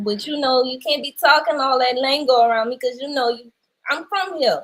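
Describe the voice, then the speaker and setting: At a moderate pace, a woman with a New Orleans accent speaks in a high pitch with ordinary pitch variation. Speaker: actress. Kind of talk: casual chat.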